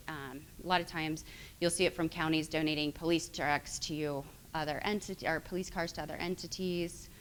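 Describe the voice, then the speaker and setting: Her pitch is very deep and low for a woman, delivered in a monotone with flat intonation. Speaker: attorney. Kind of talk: lecture. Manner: fast; halting.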